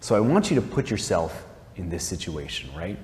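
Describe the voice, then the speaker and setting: A man's pitch rises and falls very widely as audible room echo rings around him. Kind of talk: talk, spiritual reflection. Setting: chapel, live-streamed talk to audience. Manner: casual, filler-heavy (like, um).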